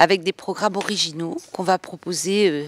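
The recording is dry and free of echo. A woman talks at a moderate pace. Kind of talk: interview answer. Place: hall. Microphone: handheld.

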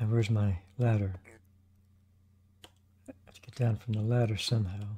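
In a fairly low pitch with monotone, flat intonation, a man speaks at a fairly quick pace, his voice somewhat breathy with a dark, mellow tone. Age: 70s. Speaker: gaming commentator. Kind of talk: casual gameplay commentary. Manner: chatty. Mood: chatty, relaxed. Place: home room.

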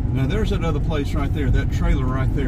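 Loud background noise fills the clip as a man speaks. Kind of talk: casual driving commentary. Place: car.

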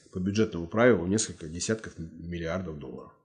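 A man's very deep, low voice with a dark, mellow tone, a very fast pace, ordinary pitch variation and a quiet background. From Russia. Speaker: writer and martial arts master; interview guest. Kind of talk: interview. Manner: blunt. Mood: earnest, argumentative. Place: office. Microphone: lapel.

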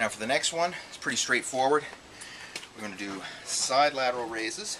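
A man speaks at a fairly quick pace while noticeable background noise fills the clip. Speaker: fitness trainer. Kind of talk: tutorial. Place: garden.

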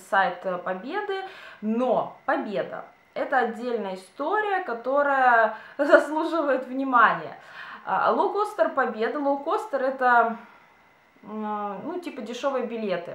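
A woman speaks very slowly in a high pitch with very wide pitch swings. Long, frequent pauses and audible room echo fill the clip. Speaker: beauty and lifestyle vlogger. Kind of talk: casual chat. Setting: home video, by a window. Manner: chatty, informal. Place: home room. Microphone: camera far.

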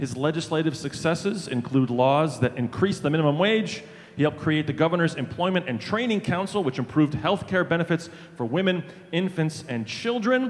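Lively intonation marks this man's fairly high-pitched voice. He talks at a fairly quick pace. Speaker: rally emcee. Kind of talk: stage introduction. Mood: light, humorous. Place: stage. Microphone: handheld.

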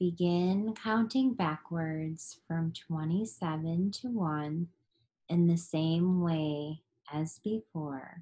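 Somewhat breathy and dark, mellow in tone, a woman talks very slowly at a fairly low pitch, with ordinary pitch variation and a soothing, calm tone. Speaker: yoga nidra teacher. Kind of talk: guided meditation. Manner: slow, soothing, calm, gently paced; soft, hypnotic cadence with long pauses.

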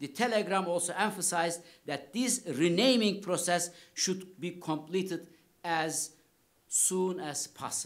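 With a Turkish accent, a man speaks in a high pitch at a fairly slow pace with ordinary pitch variation over a quiet background. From Turkey, Kars; Turkey. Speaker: history professor. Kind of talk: lecture. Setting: lecture hall with audience. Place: hall. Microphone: podium.

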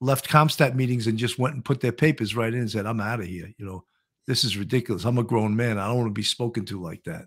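Over a quiet background, a man with an American accent talks at a fairly quick pace in a medium pitch with ordinary pitch variation. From New York. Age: 60s. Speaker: podcast host and retired police detective; podcast host. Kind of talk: casual interview chat. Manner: jokey, comedic. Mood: indignant recounting. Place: home room.

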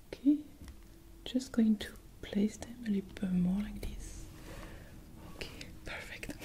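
Whispering at a fairly slow pace, a woman shows big swings in loudness. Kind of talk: soft-spoken role-play guidance. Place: home room.

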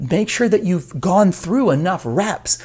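His pitch swinging very widely, a man speaks at a fairly slow pace. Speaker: coach. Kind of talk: motivational talk to camera. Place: office. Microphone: lapel.

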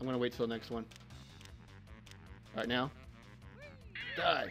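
At a moderate pace, someone talks while music plays behind the voice. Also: man. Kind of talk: let's play commentary. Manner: casual.

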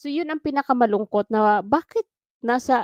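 A woman with an unremarkable speaking voice, lively intonation and a moderate pace, on a very clean recording with a silent background. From Philippines. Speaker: OFW vlogger, former election inspector. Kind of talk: solo vlog commentary.

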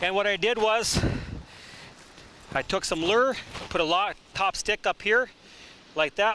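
Projecting his voice, a man speaks with ordinary pitch variation, the sound dry with no echo and light background noise behind him. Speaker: professional trapper. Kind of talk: outdoor how-to demonstration. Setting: outdoors. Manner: casual, conversational. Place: waterside.

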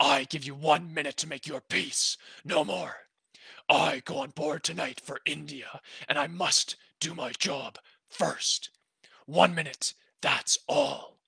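In a put-on character voice of middle pitch, growling and raspy with a menacing tone, the speaker moves at a fairly slow pace broken by long, frequent pauses. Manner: growling, menacing.

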